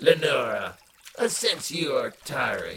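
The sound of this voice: Putting on a character voice, a man speaks at a fairly slow pace and medium pitch with big pitch swings, a husky, rough edge, vocal fry, and a fairly bright tone.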